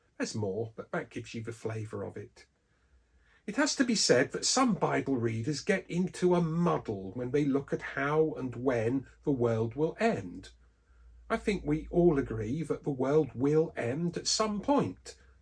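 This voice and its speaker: Speaking with an English accent, a man moves through very wide pitch swings at a fairly slow pace. His voice is somewhat breathy. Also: fairly high pitch for a man. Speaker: Bible teacher. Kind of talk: scripted religious talk.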